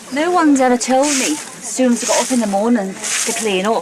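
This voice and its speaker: Someone with a Liverpool accent speaks at a moderate pace over noticeable background noise. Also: woman. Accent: Liverpool (Scouse) English. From Liverpool, England. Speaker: documentary participant. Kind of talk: casual reality-TV talk.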